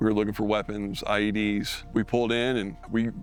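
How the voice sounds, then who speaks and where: There is noticeable background noise. A man speaks in a fairly low pitch with fairly even intonation. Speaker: wounded war veteran. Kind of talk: testimony.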